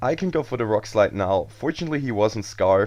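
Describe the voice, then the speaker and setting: Against a quiet background, a man speaks with a German accent. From Germany. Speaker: gaming commentator. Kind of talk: video game commentary. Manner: casual.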